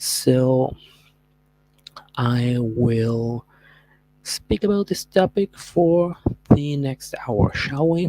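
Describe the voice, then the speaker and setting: Long, frequent pauses break up very slow speech delivered with a Spanish accent. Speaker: streamer. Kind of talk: podcast monologue. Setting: livestream. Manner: halting.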